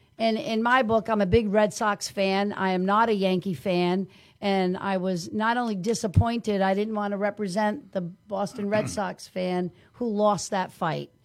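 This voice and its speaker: The speaker has an unremarkable speaking voice. The pace is moderate, with ordinary pitch variation. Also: woman, medium pitch for a woman. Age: 60s. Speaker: criminal defense lawyer. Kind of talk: casual podcast interview.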